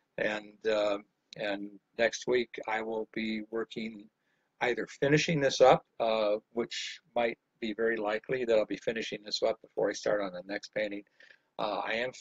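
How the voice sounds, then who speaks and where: In an American accent, a man uses a normal speaking voice at medium pitch, with fairly even intonation and a moderate pace. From Illinois, Chicago area, then Miami Beach from 13. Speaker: painting instructor. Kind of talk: live painting tutorial with casual storytelling.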